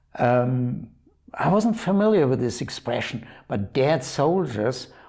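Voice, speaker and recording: With lively intonation, a man speaks in a dark, mellow tone at medium pitch. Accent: Bavarian German. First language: German. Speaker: art dealer and auction host. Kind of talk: product presentation. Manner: halting, many fillers.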